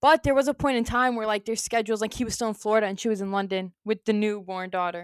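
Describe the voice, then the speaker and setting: A woman talks at a very fast pace. The recording is very clean with a silent background, and the sound is dry and close with no echo. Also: ordinary pitch variation. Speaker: sports podcast co-host. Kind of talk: casual chat. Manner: loud.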